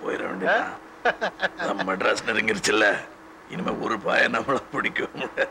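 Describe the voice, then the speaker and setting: A man's husky put-on character voice at a moderate pace, with clear background noise. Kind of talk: film dialogue.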